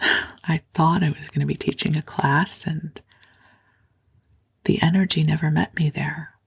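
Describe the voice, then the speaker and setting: A woman speaks in a very deep, low voice with vocal fry and a soothing tone, her intonation monotone and flat. Her pace is fairly slow, broken by long, frequent pauses. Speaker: sleep podcast host and spiritual teacher. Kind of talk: sleep podcast talk. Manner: soft-spoken, slow, soothing.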